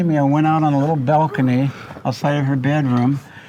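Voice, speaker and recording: Fairly high in pitch, a man speaks at a moderate pace with fairly even intonation. Background noise is noticeable. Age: 70s. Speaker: elderly brother telling childhood stories. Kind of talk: storytelling in a group interview.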